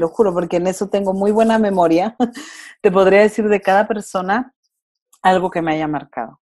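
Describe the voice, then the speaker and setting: A woman's dark, mellow voice at a medium pitch, with ordinary pitch variation and a moderate pace. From Mexico, Durango. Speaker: wife and mother, podcast guest. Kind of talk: casual interview conversation.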